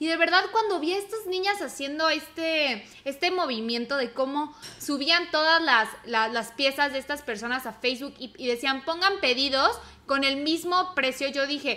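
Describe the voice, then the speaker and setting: High-pitched, bright and sharp, a woman speaks in a raised, projected voice at a moderate pace with lively intonation. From Mexico. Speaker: podcast co-host. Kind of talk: casual chat.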